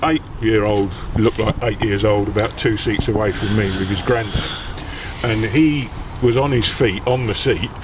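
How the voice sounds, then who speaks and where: Over noticeable background noise, a man speaks at a moderate pace and a medium pitch. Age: 60s. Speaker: football podcaster. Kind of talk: casual chat. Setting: outdoors. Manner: halting.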